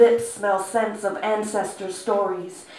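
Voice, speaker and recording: Audible room echo and light background noise surround a woman who speaks at a fairly slow pace in a medium pitch with monotone, flat intonation. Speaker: spoken word poet. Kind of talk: live poetry performance. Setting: live venue. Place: stage. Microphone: camera far.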